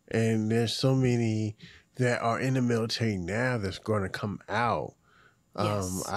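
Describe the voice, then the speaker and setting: On a very clean recording with a silent background, a man with an unremarkable speaking voice and an American accent talks at a fairly low pitch with fairly even intonation. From Hampton Roads, Virginia, US. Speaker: podcast host. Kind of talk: casual chat.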